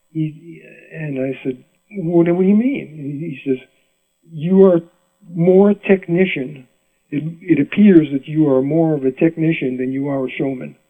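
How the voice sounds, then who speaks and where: The speaker, with an American accent, moves at a fairly slow pace with long, frequent pauses and ordinary pitch variation. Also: man, fairly high pitch for a man. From Rhode Island, US New England. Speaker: mandolin player. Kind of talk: interview storytelling. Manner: animated; halting.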